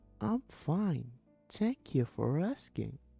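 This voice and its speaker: Faint music plays in the background behind a put-on character voice at a low-to-middle pitch. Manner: yelling out.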